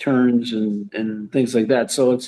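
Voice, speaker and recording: The man's voice sits at a medium pitch. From Canada. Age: 80s+. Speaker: retired hockey player. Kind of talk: interview. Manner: halting, many repetitions.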